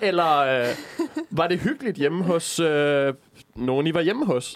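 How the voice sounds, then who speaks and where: Here a man speaks fairly slowly at a fairly high pitch. His intonation is lively. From Jutland, Denmark. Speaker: student radio co-host. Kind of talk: casual chat. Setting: studio. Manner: goes into falsetto when amused.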